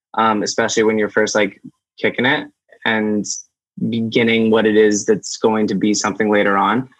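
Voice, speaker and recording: A man's fairly low voice with an American accent, monotone and flat, at a moderate pace and very even loudness. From US Northeast, Amherst, Massachusetts. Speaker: artist manager. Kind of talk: casual interview chat.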